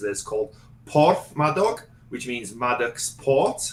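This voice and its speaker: A man with a Welsh accent over noticeable background noise. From Wales, Gwynedd (Tremadog). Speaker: former wrestler and performer, real estate investor. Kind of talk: casual interview chat.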